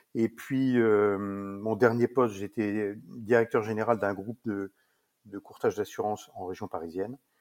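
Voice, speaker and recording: Fairly low in pitch and fairly slow, a man speaks with fairly even intonation in a dry, close sound with no echo. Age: 60s. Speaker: saddlery business owner. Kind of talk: interview. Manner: hesitant, many fillers.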